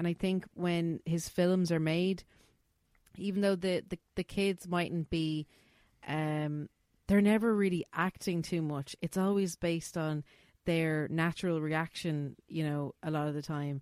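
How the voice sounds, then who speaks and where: In a dry, close sound with no echo, a woman with a fairly low pitch and an Irish accent speaks at a fairly slow pace with fairly even intonation. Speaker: podcast host. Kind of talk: casual chat. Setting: video call.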